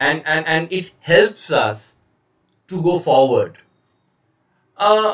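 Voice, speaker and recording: Speaking very slowly with long, frequent pauses, a man with an Indian accent uses a high pitch and lively intonation. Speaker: communication trainer. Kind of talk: lecture. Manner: hesitant, many fillers; slow, deliberate.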